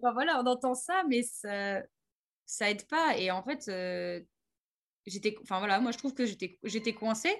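Fairly slow pace with lively intonation and long, frequent pauses. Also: woman, fairly high pitch for a woman. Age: 30s. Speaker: horse trainer. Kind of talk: interview.

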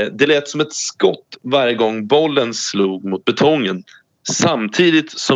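Very slowly, a man delivers his words. The variation in his pitch is ordinary. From Sweden, Norrköping. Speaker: podcast co-host. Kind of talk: reading aloud; casual chat. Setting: remote link. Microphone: remote line.

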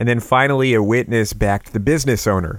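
With an American accent, a man speaks at a fairly quick pace in an ordinary speaking voice, at a medium pitch with ordinary pitch variation, in a very clean recording with a silent background. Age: 30s. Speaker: local news podcast host. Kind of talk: scripted local news roundup.

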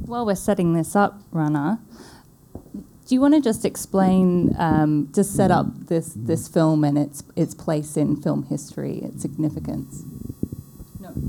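With noticeable background noise, a woman speaks at a fairly slow pace in a very deep, low pitch. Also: ordinary pitch variation. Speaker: moderator/interviewer. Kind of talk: moderated Q&A discussion.

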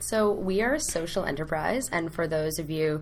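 This woman has an ordinary speaking voice with a Canadian accent. Her pitch sits fairly low and varies in an ordinary way. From Canada, Ottawa. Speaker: program coordinator at a youth charity. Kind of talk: interview.

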